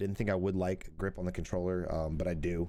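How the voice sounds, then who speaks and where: A quiet man speaks at a very fast pace in a very deep, low pitch with a dark, mellow tone and fairly even intonation. The recording is very clean, with a silent background. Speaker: gaming streamer and reviewer. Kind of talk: product review. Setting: at home, early morning. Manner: quiet, kept low; casual.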